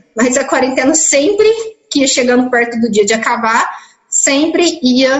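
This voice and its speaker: A woman speaks at a fairly slow pace in a high pitch. Room echo is audible. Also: very even loudness. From interior of São Paulo state, Brazil. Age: 20s. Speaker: biomedical lab worker. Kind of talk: interview testimony. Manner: hesitant, with repetitions.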